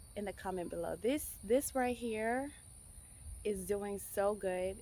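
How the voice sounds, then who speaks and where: Someone with a non-native accent talks at a fairly slow pace in an animated tone. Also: woman. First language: not English. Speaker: home gardening vlogger. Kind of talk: casual garden tour vlog. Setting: outdoors in backyard garden. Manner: animated, with frequent fillers.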